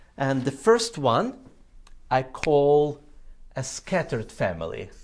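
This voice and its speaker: Pitch swings very widely while the speech unfolds at a very slow pace. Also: man, fairly high pitch for a man. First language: not English. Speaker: ministry trainer. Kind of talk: training presentation. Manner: frequent filler uh.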